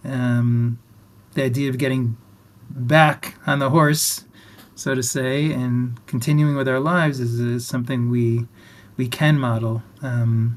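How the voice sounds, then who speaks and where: An ordinary speaking voice delivers the words at a fairly slow pace. The intonation stays fairly even. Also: man, medium pitch for a man. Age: 60s. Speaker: rabbi and interview host. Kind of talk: interview.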